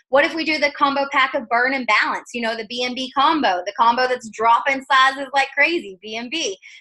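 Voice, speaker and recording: The voice is raised and projected, with a bright, sharp tone. Delivery is animated and at a fairly quick pace. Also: woman. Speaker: network marketing seller. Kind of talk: video call interview. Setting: video call.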